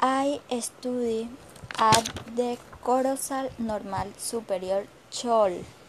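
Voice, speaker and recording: A woman with a Colombian accent talks at a very slow pace and a fairly high pitch, using fairly even intonation and long, frequent pauses over noticeable background noise. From Colombia, Magdalena. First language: Spanish. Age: 20s. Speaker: student teacher. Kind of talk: self-introduction. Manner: halting.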